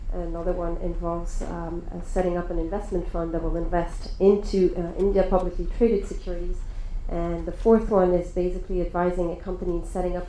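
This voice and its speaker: A woman talks at a fairly quick pace with a French accent. The room echo is audible, and background noise is noticeable. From France. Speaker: lawyer. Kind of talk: panel discussion.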